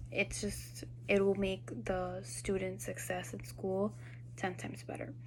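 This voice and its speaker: Against audible room echo, a woman with a Spanish accent speaks at a fairly slow pace. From Peru, raised in Miami from age six. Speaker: student teacher. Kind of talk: class assignment video reflection. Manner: casual, with fillers.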